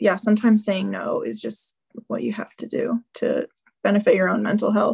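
With a Midwestern American accent, a woman speaks at a moderate pace, the sound dry and close with no echo. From Southern Illinois. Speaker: freelance writer. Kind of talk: casual interview. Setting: video call.

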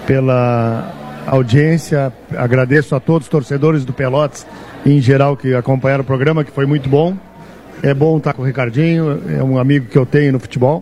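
At a moderate pace, a man talks at a medium pitch with fairly even intonation. Noticeable background noise can be heard. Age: 50s. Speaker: football club president. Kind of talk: casual chat. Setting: live radio broadcast from a bar.

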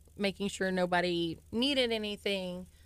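A woman with an American accent and a plain, everyday voice, medium in pitch, at a moderate pace. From Texas. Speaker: junior high school principal. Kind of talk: radio interview.

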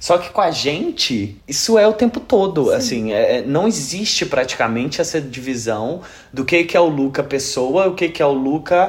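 A man's fairly high voice with very wide pitch swings and hardly any pauses. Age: 30s. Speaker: podcast host and YouTuber. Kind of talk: casual chat; scripted intro. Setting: at home.

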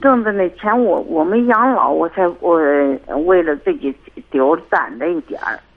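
At a fairly slow pace, a woman speaks at medium pitch with very wide pitch swings. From Hebei. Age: 50s. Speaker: caller. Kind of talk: call-in advice talk. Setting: phone call. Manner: soft-spoken; halting.

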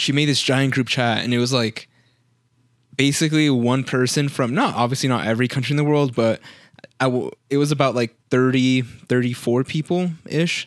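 A man with a northern Mexican accent at medium pitch and moderate pace, fairly even intonation and very even loudness, in a very clean recording with a silent background. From northern Mexico. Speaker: podcast co-host. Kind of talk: casual chat.

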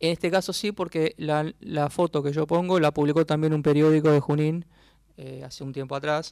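In a normal speaking voice, a man talks at a moderate pace with a fairly high pitch and fairly even intonation, the sound dry and close with no echo on a very clean recording with a silent background. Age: 40s. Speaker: journalist and author. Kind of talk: radio interview.

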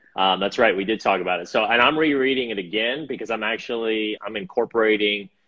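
Here is a man with an unremarkable speaking voice at medium pitch. His intonation is lively. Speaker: podcast host. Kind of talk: casual chat.

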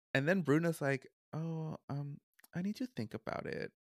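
A man at a moderate pace with a Spanish accent, on a very clean recording with a silent background, dry and close with no echo. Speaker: podcast host. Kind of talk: casual chat.

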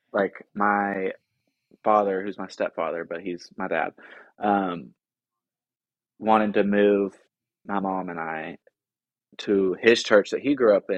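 Very slowly and with long, frequent pauses, a man talks at a fairly low pitch. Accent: American. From US South, Tennessee (small town outside Nashville). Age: 20s. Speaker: social work master's student and rehab counselor. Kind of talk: casual interview chat. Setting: home, guest in host's living room.

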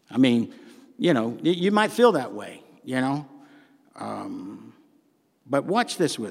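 Talking at a very slow pace with long, frequent pauses, a man with a Southern US accent lets his loudness swing widely. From US South. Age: 60s. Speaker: pastor. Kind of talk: sermon. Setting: church.

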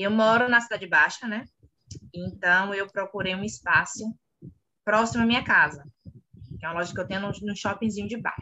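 Speaking at a fairly quick pace, a woman uses a medium pitch and fairly even intonation. She takes long, frequent pauses. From Bahia, Brazil (Salvador). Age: 30s. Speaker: clothing store owner. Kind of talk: interview.

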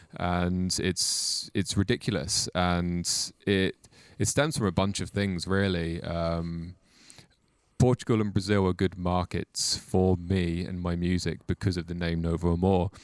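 Very clean and set against a silent background, this recording features a man with a Welsh accent and a very deep, low voice. He speaks at a fairly slow pace with fairly even intonation. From Mid Wales. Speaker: musician. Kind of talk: casual chat.

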